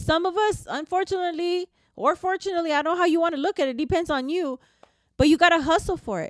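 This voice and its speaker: In a dry, close recording with no echo, a woman with an American accent talks at a very fast pace in an extremely high pitch with ordinary pitch variation. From US, grew up in the projects. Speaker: podcast host and motivational speaker. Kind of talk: casual motivational monologue. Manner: conversational with frequent fillers.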